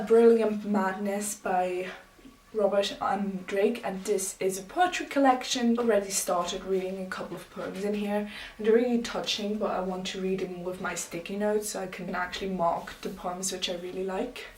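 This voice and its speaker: Amid noticeable background noise and audible room echo, a woman's voice swings widely in loudness. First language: not English. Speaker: booktuber. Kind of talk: casual vlog talk.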